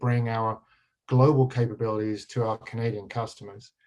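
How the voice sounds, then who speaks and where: Somewhat breathy, a man with an English accent talks at a fairly quick pace and medium pitch, his intonation monotone and flat. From England. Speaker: pension fund executive. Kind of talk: panel talk. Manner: halting, many fillers.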